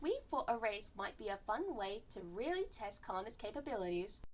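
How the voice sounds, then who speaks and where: A female-sounding, put-on character voice, fairly high in pitch, at a moderate pace over clear background noise. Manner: upbeat.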